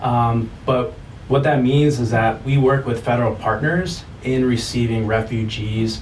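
A man's medium-pitched voice with an American accent, fairly slow and fairly even in intonation, very even in loudness, with audible room echo. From US Midwest, St. Louis. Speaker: nonprofit community support manager. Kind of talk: interview. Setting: studio. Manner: hesitant, many fillers.

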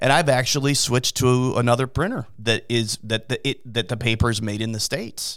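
In a very clean recording with a silent background, a man with an ordinary speaking voice at medium pitch talks at a fairly quick pace with fairly even intonation and hardly any pauses. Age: 50s. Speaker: DJ and event business owner. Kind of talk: casual chat. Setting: studio.

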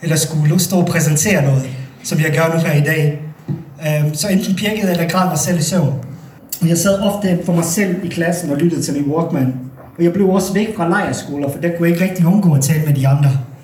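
The speaker has a Bosnian accent and talks at a fairly quick pace. Noticeable background noise runs underneath. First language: Bosnian (speaking Danish). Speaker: storyteller. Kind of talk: live storytelling. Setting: stage with audience.

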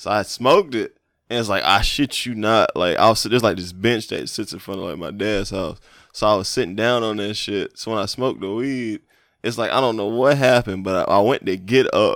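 This man has an unremarkable speaking voice at medium pitch, with ordinary pitch variation. He talks at a fairly quick pace on a very clean recording with a silent background. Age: 30s. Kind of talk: casual banter, comedic podcast chat.

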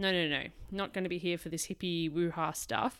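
Recorded very cleanly with a silent background, a woman with an Australian accent speaks at a moderate pace. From Australia, Melbourne. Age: 20s. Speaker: podcast host. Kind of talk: solo podcast monologue. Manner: casual, chatty.

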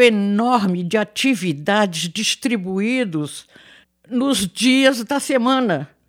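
On a very clean, dry, close recording with no echo and a silent background, a woman speaks very slowly at a fairly high pitch with very wide pitch swings. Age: 80s+. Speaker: retiree living in a care residence. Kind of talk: interview testimony.

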